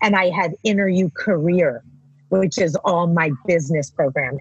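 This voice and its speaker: The voice belongs to a woman and is somewhat breathy. The sound is dry and close, with no echo. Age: 50s. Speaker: life coach. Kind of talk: casual chat. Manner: animated.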